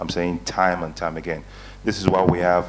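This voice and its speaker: There is noticeable background noise and audible room echo. A man with a very deep, low voice speaks at a fairly quick pace. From Nigeria. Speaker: investment advisory panelist. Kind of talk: conference panel talk.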